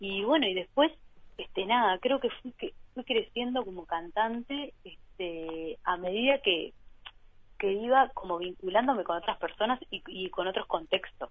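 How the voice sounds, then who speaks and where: With a plain, everyday voice, a woman speaks fairly slowly at a fairly high pitch, her intonation lively. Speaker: singer-songwriter. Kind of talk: interview. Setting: phone call. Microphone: remote line with delay.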